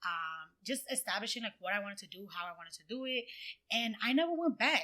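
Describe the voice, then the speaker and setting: A woman with a Dominican accent talks at a very fast pace in a fairly high, bright, sharp voice. Her pitch swings very widely and her loudness shifts in big swings. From Dominican Republic, moved to US at eight. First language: Spanish. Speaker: brand designer and entrepreneur. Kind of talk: podcast interview, casual chat. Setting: in-person studio.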